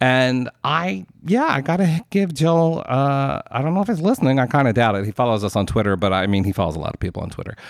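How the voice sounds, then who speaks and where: A man rattles along at a very fast pace with hardly any pauses, his pitch swinging very widely. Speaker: podcast host. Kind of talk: casual chat, movie discussion.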